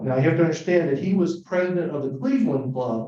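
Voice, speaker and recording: A man's dark, mellow voice comes across as somewhat breathy. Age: 60s. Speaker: Rotary club speaker. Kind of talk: club talk on history.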